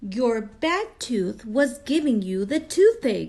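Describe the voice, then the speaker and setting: A woman puts on a high-pitched character voice. She speaks at a very slow pace. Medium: read story.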